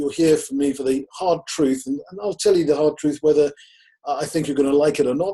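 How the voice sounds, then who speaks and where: A man's dark, mellow voice, fairly high in pitch, with ordinary pitch variation. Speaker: business consultant. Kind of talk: presentation. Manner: fast; animated.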